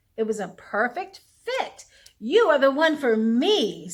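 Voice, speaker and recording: Using a put-on character voice, a woman speaks slowly-ish at a fairly slow pace in a high pitch with very wide pitch swings. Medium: read story.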